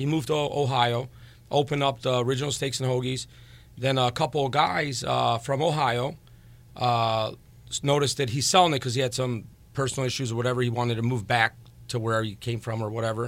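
A man with an unremarkable speaking voice and a medium pitch talks at a fairly quick pace with fairly even intonation. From Crown Point, Indiana. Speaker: home builder and restaurant owner. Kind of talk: casual chat.

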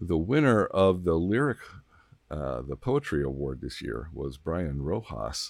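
Very deep and low, a man's voice has lively intonation, a relaxed, warm tone and vocal fry. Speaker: public radio host. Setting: radio broadcast.

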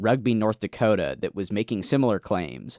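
A man's unremarkable speaking voice at medium pitch and a fairly quick pace, dry and close with no echo, in a very clean recording with a silent background. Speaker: podcast co-host. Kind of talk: casual chat and narrated field reporting. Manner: upbeat, laughs often.

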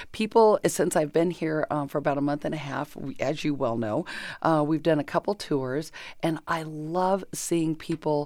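A woman with a Californian accent, her pitch very deep and low, with ordinary pitch variation. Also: very clean recording, silent background. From Southern California (Chino). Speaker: former state senator and station executive director. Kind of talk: interview.

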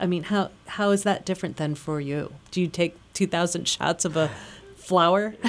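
On a very clean recording with a silent background, a woman speaks in an unremarkable speaking voice. Her pitch is fairly low, her pace is moderate, and her pitch variation is ordinary. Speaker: radio host. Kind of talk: radio interview. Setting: studio.

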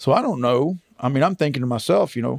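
Speaking at a fairly quick pace, a man uses a medium pitch with ordinary pitch variation. He talks in a Texan accent. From Texas. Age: 50s. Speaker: butcher and goat farmer, COVID survivor. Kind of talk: personal testimony interview. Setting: outdoors on farm.

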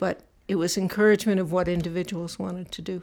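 A woman speaks in a normal speaking voice at a moderate pace, her intonation fairly even. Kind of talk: elder telling life story in an interview, recalling childhood and family history.

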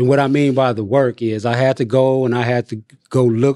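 Against a quiet background, a man speaks in a normal speaking voice at a medium pitch with fairly even intonation, in a dry, close sound with no echo. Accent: American. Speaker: incarcerated man seeking parole. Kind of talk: interview.

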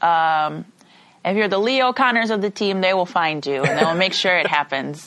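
A woman's medium-pitched, normal speaking voice with an American accent, moderate pace, lively intonation and very even loudness. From Chicago. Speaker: college track athlete. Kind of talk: interview.

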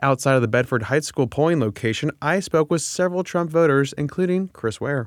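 A man with a plain, everyday voice and a fairly high pitch speaks at a fairly quick pace with hardly any pauses and ordinary pitch variation, in a very clean recording with a silent background and a dry, close sound with no echo. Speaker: political radio host. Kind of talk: podcast news analysis. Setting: studio. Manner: casual and jokey.

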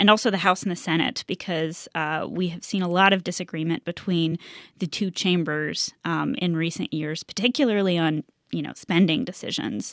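A woman with a normal speaking voice talks at a moderate pace and medium pitch, with ordinary pitch variation and a dry, close sound with no echo. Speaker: education reporter. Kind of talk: radio panel discussion. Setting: remote studio. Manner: uses many fillers.

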